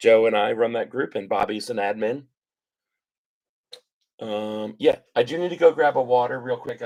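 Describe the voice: In a put-on character voice, hoarse and raspy, the speaker moves at a moderate pace with long, frequent pauses. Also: man, medium pitch for a man.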